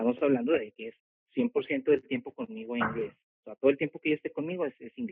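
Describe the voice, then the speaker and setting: A man with a fairly high voice speaks very fast, his pitch swinging very widely and his loudness rising and falling in big swings. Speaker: homeschooling parent. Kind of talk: casual interview. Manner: halting, many repetitions.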